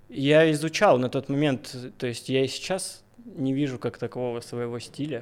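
On a very clean recording with a silent background, a man talks at a moderate pace in a plain, everyday voice. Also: medium pitch for a man, ordinary pitch variation. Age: 20s. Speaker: tattoo artist. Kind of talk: casual chat. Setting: studio.

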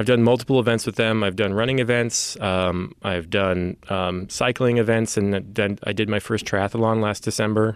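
With an American accent, a man talks at a moderate pace and a fairly low pitch, his intonation fairly even and hardly any pauses, in an ordinary speaking voice. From San Francisco Bay Area, US. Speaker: guest co-host in addiction recovery. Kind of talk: casual chat.

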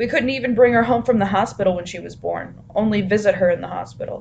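A woman is speaking at a medium pitch. Her pitch varies in an ordinary way. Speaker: podcast co-host. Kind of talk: casual chat. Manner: soft-spoken.

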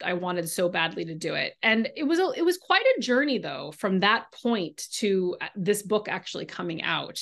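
A woman with an American accent speaks at a moderate pace in a fairly high pitch, an ordinary speaking voice. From California. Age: 40s. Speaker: novelist. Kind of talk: interview.

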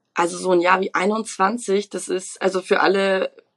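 Her pitch sits in the medium range for a woman, with ordinary pitch variation. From Munich, Bavaria. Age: 20s. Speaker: trainee winemaker. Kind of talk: podcast interview. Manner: animated.

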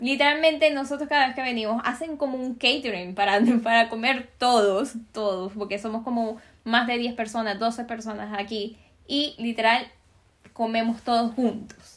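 Her voice is fairly high, and the woman keeps a moderate pace. Her intonation stays fairly even. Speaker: podcast host. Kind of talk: interview.

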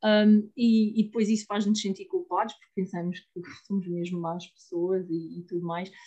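A dark, mellow voice at a moderate pace, with hardly any pauses, big swings in loudness, fairly even intonation and a somewhat breathy quality. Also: woman, medium pitch for a woman. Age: 30s. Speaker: IVF patient. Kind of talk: interview testimony. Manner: halting.

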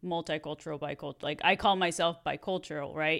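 A woman's very deep, low voice with a Mexican accent and fairly even intonation, on a very clean recording with a silent background. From Mexico. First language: Spanish. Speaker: podcast co-host. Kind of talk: casual chat.

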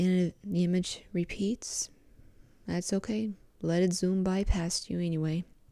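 Her voice is dark and mellow, as a woman speaks at a medium pitch in a monotone, flat intonation at a fairly slow pace. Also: very clean recording, silent background. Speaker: podcast host. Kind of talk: guided meditation; casual solo talk. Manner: soft-spoken.

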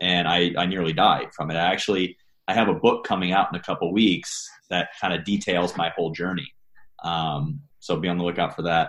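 This man talks at a fairly quick pace in a very deep, low voice, his intonation fairly even. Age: 30s. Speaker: coach and army veteran. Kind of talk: interview.

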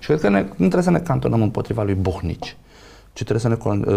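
Very wide pitch swings in a somewhat breathy male voice of dark, mellow tone. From Romania. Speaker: sociologist and professor. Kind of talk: casual interview.

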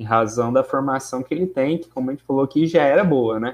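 The man uses an ordinary speaking voice, medium in pitch with ordinary variation. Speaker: law researcher, moderator. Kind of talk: casual discussion, online livestream. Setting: live video stream.

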